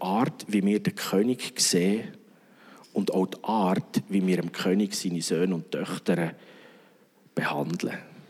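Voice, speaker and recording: A man speaking at a fairly slow pace. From Switzerland, Bern region. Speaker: pastor. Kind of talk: sermon.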